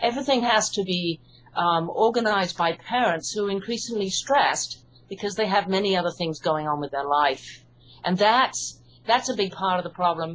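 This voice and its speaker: Speaking with an English accent, a woman keeps a moderate pace. Her medium-pitched voice has lively intonation. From UK. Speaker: hypnotherapist and author. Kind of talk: interview.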